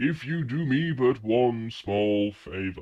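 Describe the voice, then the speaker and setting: At a very slow pace and medium pitch, the man speaks in a put-on character voice. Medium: actual play. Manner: courtly, grandiloquent, smoothly manipulative.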